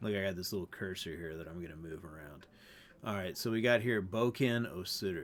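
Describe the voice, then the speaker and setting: A man with an ordinary speaking voice at a fairly low pitch with ordinary pitch variation. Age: 40s. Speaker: language teacher. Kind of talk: tutorial. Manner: casual.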